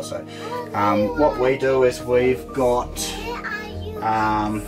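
A man is speaking. Clear music plays behind him. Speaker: travel vlogger. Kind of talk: casual vlog chat tutorial. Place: kitchen.

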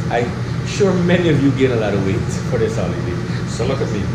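A man speaks at a fairly quick pace amid loud background noise. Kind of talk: casual cooking vlog chat. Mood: cheerful, chatty. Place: kitchen. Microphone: phone near.

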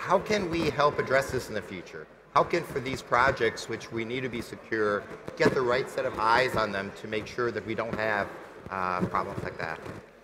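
There is noticeable background noise as a man talks at a medium pitch with lively intonation. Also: moderate pace. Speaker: panel moderator. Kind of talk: moderated panel discussion. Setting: conference stage with live audience. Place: stage.

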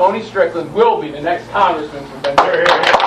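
Noticeable background noise sits behind this recording. A man talks at a fairly quick pace. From US East Coast, Maryland. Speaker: congressman, speaker at rally; speaker. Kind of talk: rally speech. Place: office.

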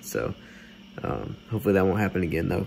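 Light background noise accompanies a man whose very deep, low voice carries vocal fry and very wide pitch swings. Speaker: vlogger. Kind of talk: casual vlog chat. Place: home room. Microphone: earbuds.

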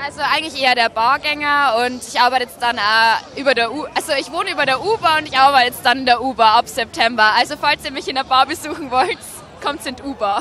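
Against crowd noise in the background, a woman with a high pitch and ordinary pitch variation talks at a very fast pace in a raised, projected voice, the sound dry with no echo. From Bavaria, Regensburg area; Bavaria. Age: 20s. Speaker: dating show candidate; candidate. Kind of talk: casual interview. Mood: cheerful, laughing. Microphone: handheld.

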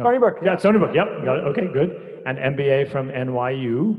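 A man at a moderate pace against a quiet background. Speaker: university faculty host. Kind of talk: speaker introduction. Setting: stage with audience. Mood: warm, lightly joking. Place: hall.

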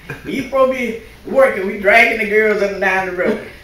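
Amid light background noise and audible room echo, a woman talks at a fairly high pitch with lively intonation. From Louisiana. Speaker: pastor's wife, church speaker; pastor's wife. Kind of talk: church talk, testimony. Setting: church. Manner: casual, halting. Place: church. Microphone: podium.

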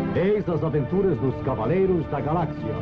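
Moderate pace from a man's voice, music playing underneath. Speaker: voice actor. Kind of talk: cartoon opening narration. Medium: dub.

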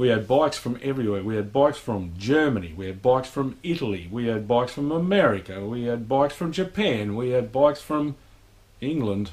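This man speaks fairly quickly, his intonation lively. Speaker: motorcycle vlogger. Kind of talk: casual vlog chat. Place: garage. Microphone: camera far.

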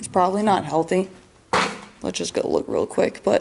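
A woman's voice over noticeable background noise. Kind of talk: casual vlog chat. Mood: curious, disgusted by smell. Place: office. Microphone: phone near.

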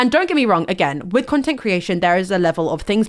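A woman in a British accent talks at a fairly quick pace and medium pitch. Her tone is animated, with very wide pitch swings. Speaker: livestreamer. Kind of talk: casual livestream chat turning to serious discussion. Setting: livestream with guest on call. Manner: nervous, a bit halting.

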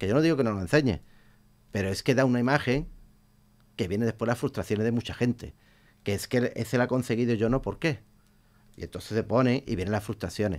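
Talking at a very fast pace, the man uses ordinary pitch variation. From Huelva, Andalusia, Spain; Andalusia, Spain. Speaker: Twitch streamer. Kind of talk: radio interview; interview answer. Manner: halting, repeats words. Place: studio. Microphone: studio mic.

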